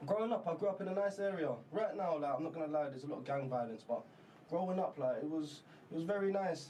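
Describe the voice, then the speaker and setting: A man with a London accent talks at a very fast pace in a high pitch, with ordinary pitch variation and noticeable background noise. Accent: London English (multicultural London). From South London. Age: 30s. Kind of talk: casual chat.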